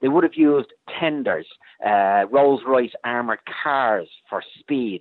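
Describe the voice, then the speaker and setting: Speaking at a fairly slow pace, a man talks with an Irish accent. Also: medium pitch for a man, ordinary pitch variation. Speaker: military historian. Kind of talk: interview. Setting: phone call.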